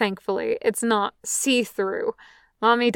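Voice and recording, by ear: Someone reads aloud in a natural voice. Behind the reading, the background stays quiet.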